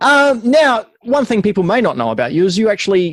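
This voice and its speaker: With an Australian accent, a man talks at a fairly quick pace using lively intonation, the sound dry and close with no echo. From Adelaide, South Australia. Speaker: podcast host. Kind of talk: podcast interview.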